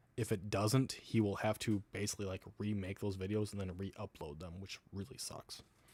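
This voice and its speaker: Speaking with an American accent in a normal speaking voice, a man talks at a moderate pace with hardly any pauses, a fairly low pitch and fairly even intonation, on a very clean recording with a silent background. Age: 30s. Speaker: livestreamer. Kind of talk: casual livestream chat. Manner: casual, rambling with fillers.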